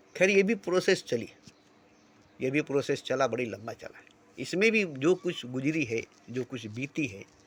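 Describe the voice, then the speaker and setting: A man's fairly high voice moves through very wide pitch swings. His loudness also rises and falls in big swings. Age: 60s. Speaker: spiritual speaker. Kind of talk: spiritual monologue. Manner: repetitive.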